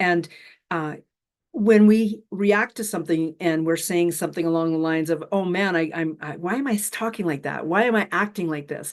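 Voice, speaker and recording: A woman with a Canadian accent uses an ordinary speaking voice, fairly low in pitch, at a moderate pace with ordinary pitch variation. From western Canada (Alberta). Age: 60s. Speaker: spiritual mentor. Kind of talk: casual interview chat. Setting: live online session.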